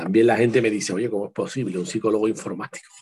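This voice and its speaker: In a dark, mellow tone, a man speaks very fast at a medium pitch. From Spain, Seville. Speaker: writer and psychologist. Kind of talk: interview.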